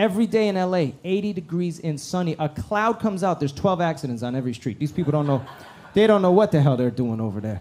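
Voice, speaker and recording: This man speaks very fast in an American accent. His fairly high voice swings very widely in pitch. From Iran, raised in the US. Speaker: stand-up comedian. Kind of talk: stand-up. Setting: comedy club stage with audience. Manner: animated.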